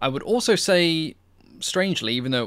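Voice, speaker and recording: Ordinary pitch variation at a fairly quick pace over a quiet background. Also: man. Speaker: aviation history channel host. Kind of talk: Q&A commentary.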